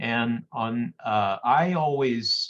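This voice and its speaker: The voice has ordinary pitch variation and speaks in a French Canadian accent. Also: man. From Quebec, Canada. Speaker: winemaker and vineyard owner. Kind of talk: interview on a virtual wine tasting. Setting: video call.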